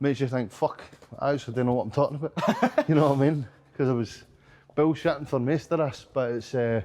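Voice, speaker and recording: A man's fairly high voice at a very fast pace. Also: ordinary pitch variation. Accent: Glasgow. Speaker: professional boxer and coach. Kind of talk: casual interview chat.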